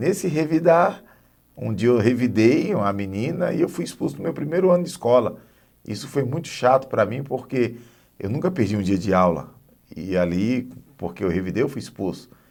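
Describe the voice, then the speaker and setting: Pitched in the medium range, a man talks at a moderate pace with very wide pitch swings. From Northeast Brazil. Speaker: guest sharing life story. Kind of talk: testimony. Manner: halting, repeats words.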